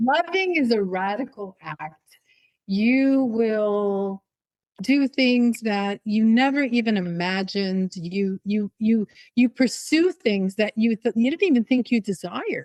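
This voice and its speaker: Speaking at a fairly slow pace, a woman has an ordinary speaking voice. Her fairly high pitch rises and falls with lively intonation. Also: dry, close sound with no echo. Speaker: podcast host. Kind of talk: interview conversation.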